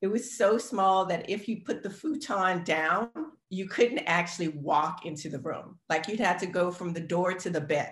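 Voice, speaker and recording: Somewhat breathy, a woman speaks at a medium pitch and a moderate pace. Her intonation is lively. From New Orleans, Louisiana. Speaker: K-pop dancer and actor. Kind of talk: casual chat.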